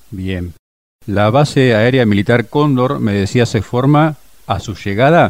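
A man's plain, everyday voice at a medium pitch, with ordinary pitch variation and a fairly slow pace. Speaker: radio host. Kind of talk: interview. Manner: formal.

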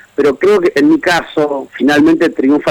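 Noticeable background noise sits behind the audio. A man talks at a moderate pace. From Argentina, Greater Buenos Aires. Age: 40s. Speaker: writer. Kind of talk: radio interview.

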